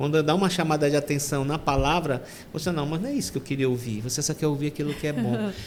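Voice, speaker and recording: A man's fairly high voice at a very fast pace, with ordinary pitch variation and noticeable background noise. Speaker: deacon. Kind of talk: testimony. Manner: halting.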